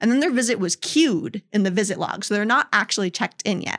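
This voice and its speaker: On a very clean recording with a silent background, a woman talks at a fairly quick pace in a fairly high voice with lively intonation, the sound dry and close with no echo. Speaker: customer onboarding specialist. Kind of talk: casual interview. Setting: studio. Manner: chatty.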